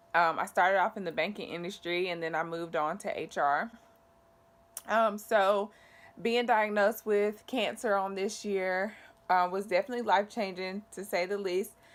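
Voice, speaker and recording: With fairly even intonation, an ordinary speaking voice keeps to a moderate pace. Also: woman, medium pitch for a woman. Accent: American. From US South, North Carolina. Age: 20s. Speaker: vlogger sharing cancer story. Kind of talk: personal vlog testimony.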